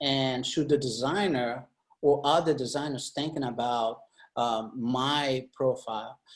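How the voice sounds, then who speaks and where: This man talks at a fairly slow pace with a non-native accent. His pitch sits in the medium range, and his intonation stays fairly even. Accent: foreign. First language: not English. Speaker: UX designer. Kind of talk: panel discussion. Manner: halting, many fillers.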